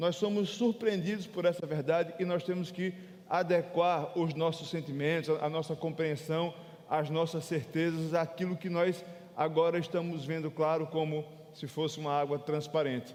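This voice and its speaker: Noticeable background noise surrounds this man as he talks with fairly even intonation, a fairly high pitch and a moderate pace. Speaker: pastor. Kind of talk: sermon. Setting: church.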